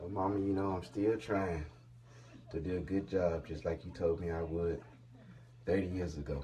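A man with a very deep, low pitch talks at a moderate pace with ordinary pitch variation and a somewhat breathy sound. There is light background noise, and he leaves long, frequent pauses. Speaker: father, channel host. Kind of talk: casual talk to camera. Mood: warm, grateful, smiling. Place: home room. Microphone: phone near.

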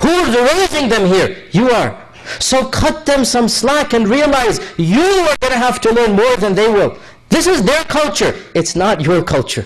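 This man's pitch is extremely high and swings very widely, with an American accent. His loudness stays very even. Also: fairly slow pace. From USA. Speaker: imam. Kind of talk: sermon. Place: hall.

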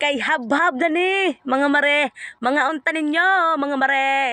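This woman has a high pitch and a bright, sharp tone, her voice raised and projected. She speaks at a fairly slow pace, recorded dry and close with no echo. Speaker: family vlogger. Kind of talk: casual vlog narration.

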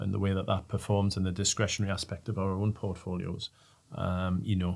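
A man's very deep, low voice in a monotone, flat intonation at a fairly quick pace. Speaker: panelist. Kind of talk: interview answer. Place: studio. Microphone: studio mic.

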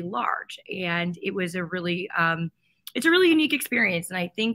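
A woman's voice with a bright, sharp tone. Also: quiet background. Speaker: candidate. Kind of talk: interview answer. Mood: friendly, upbeat.

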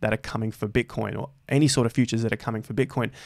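Over a quiet background, a man speaks with fairly even intonation. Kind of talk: commentary.

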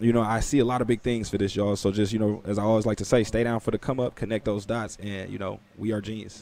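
In a dry sound with no echo, a man talks very fast with hardly any pauses, in a fairly low, dark, mellow voice with monotone, flat intonation. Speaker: YouTube finance and crypto host. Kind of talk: interview (AMA). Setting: video call. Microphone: video call.

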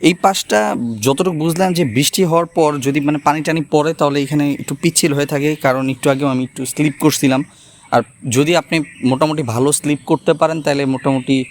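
A man with an unremarkable speaking voice talks at a fairly high pitch with fairly even intonation, in a dry, close sound with no echo. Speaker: travel vlogger. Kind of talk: vlog narration.

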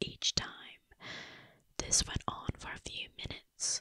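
A woman whispers, soft-spoken, at a fairly slow pace. The sound is dry with no echo, and the background is quiet. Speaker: storyteller. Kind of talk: horror story narration. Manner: soft whispered narration. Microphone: studio mic.

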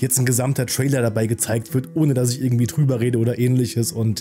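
Very fast speech from a man, very even in loudness, with faint music in the background. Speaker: film channel host. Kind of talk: casual vlog chat. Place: studio. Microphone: studio mic.

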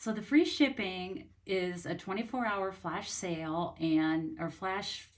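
Fairly low pitch from a woman, ordinary pitch variation, and a quiet background. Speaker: craft demonstrator. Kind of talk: casual livestream chat. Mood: cheerful, friendly. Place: home room. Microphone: phone near.

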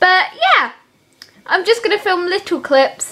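Moderate pacing from a woman, with very wide pitch swings. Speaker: vlogger. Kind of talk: casual vlog.

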